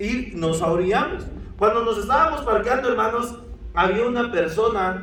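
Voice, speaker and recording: Through audible room echo and noticeable background noise, a man with a Guatemalan accent speaks in a high pitch at a moderate pace. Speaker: pastor. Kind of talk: sermon.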